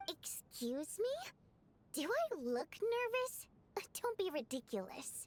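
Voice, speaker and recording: Using a put-on character voice at an extremely high pitch, a woman speaks at a fairly slow pace with very wide pitch swings and long, frequent pauses. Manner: nervous, indignant.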